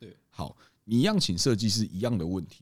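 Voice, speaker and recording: This man has a plain, everyday voice. He talks at a fairly quick pace with lively intonation. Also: very clean recording, silent background. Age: 30s. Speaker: bistro co-owner. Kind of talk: casual chat.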